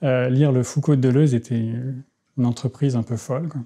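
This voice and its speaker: A man with a dark, mellow tone speaks at a medium pitch. His pace is moderate, with ordinary pitch variation. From France (childhood in Tehran, Iran). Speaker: philosopher; interviewee. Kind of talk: interview. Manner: halting, many hesitations. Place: home room. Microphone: lapel.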